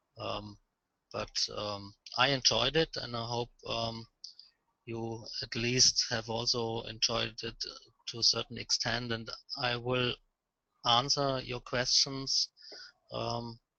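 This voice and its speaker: A man's medium-pitched voice in a German accent, very slow and monotone, with flat intonation and long, frequent pauses. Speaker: lighting expert presenter. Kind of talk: webinar presentation Q&A. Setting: phone call. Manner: halting.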